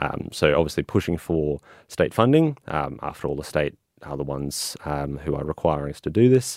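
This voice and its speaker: Very deep and low, a man's voice with an Australian accent moves at a moderate pace, with ordinary pitch variation and big swings in loudness. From Toowoomba, Queensland, Australia. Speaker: council candidate. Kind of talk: interview.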